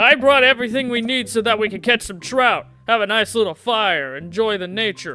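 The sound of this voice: A put-on character voice, fairly high-pitched and fairly quick, with hardly any pauses, over faint background music.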